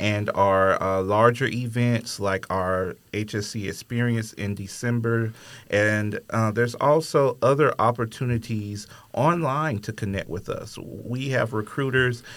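A man with an American accent and a plain, everyday voice speaks at a fairly slow pace and medium pitch with ordinary pitch variation, on a very clean recording with a silent background. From US South, Alabama. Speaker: podcast host, university admissions staff. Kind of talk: casual interview.

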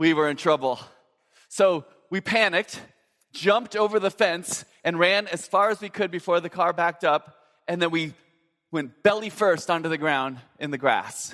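A man with a high pitch and a bright, sharp tone leaves long, frequent pauses, recorded very cleanly against a silent background. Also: ordinary pitch variation, moderate pace. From Minnesota, US Midwest. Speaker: pastor. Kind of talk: sermon.

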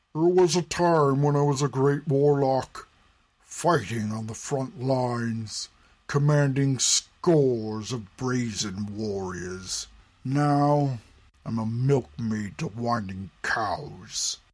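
A man puts on a character voice at a medium pitch. He speaks very slowly. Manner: cold, scornful, commanding.

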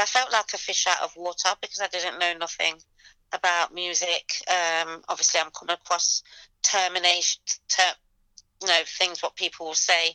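A woman speaks in a bright, sharp tone at a fairly low pitch and moderate pace with monotone, flat intonation. The sound is dry and close with no echo over a quiet background. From England, Leicester. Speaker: event promoter. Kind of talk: interview.

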